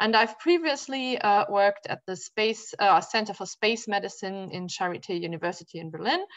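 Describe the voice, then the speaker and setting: A woman with a German accent speaks at a medium pitch and a moderate pace, her intonation lively and her speech hardly broken by pauses. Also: big swings in loudness. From Germany. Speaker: physician and space physiology researcher. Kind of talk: academic talk. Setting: video call.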